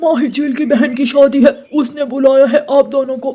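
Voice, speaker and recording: A man does a cartoonish character voice at an extremely high pitch. He keeps a moderate pace and a monotone, flat intonation. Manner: hesitant, polite.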